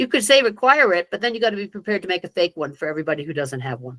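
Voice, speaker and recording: Very wide pitch swings mark a woman's very fast speech, with vocal fry and a dry, close sound with no echo. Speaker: tax software trainer. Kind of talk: online training presentation. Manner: hesitant, many fillers.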